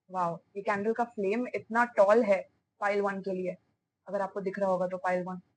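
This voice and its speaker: This woman's intonation stays fairly even as she talks at a moderate pace. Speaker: tarot reader. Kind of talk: tarot reading to camera. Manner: hesitant fillers.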